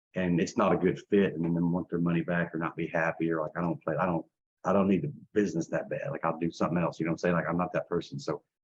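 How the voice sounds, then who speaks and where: A man speaks at a very fast pace in a very deep, low voice. His intonation stays fairly even. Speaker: credit and business funding consultant. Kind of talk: sales pitch. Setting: webinar with internet connection problems. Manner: repetitive, halting restarts.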